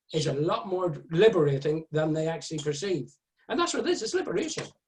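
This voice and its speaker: This man talks at a very fast pace in an Irish accent, his pitch fairly high. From Ireland. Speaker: author. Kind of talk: casual chat.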